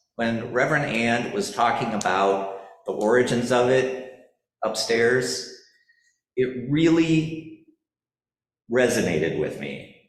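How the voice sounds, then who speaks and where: A man's medium-pitched voice at a very slow pace, lively intonation, long and frequent pauses, and audible room echo. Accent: slight South Dakota. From South Dakota. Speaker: church parishioner. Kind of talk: personal testimony at church forum. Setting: church forum. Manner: halting, many fillers.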